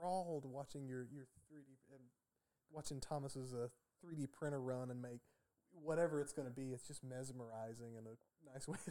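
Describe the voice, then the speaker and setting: A man with an unremarkable speaking voice talks at medium pitch and a fairly quick pace. His intonation is fairly even, but his loudness swings widely. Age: 30s. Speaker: artist and packaging engineer. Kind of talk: casual chat.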